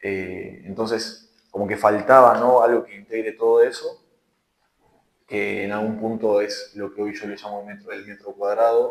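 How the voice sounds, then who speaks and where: This man talks fairly slowly. There are big swings in his loudness. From Argentina, Buenos Aires province (San Antonio de Areco). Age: 20s. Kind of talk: interview. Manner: hesitant, many fillers.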